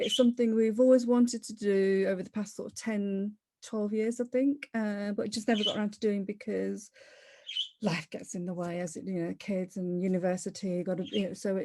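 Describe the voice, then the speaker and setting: A woman speaks with a Leicester accent in a dark, mellow tone. Her pace is fairly quick and her intonation fairly even. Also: medium pitch for a woman. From Leicester, England. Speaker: property investor. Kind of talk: interview. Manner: conversational, with fillers and self-corrections.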